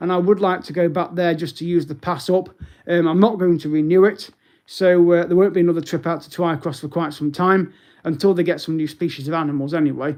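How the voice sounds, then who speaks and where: With a British accent, a man speaks in a high pitch. His pace is fairly quick and his intonation fairly even. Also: big swings in loudness. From English Midlands, Derby. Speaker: travel and sightseeing YouTuber. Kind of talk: live stream update. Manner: hesitant, many fillers.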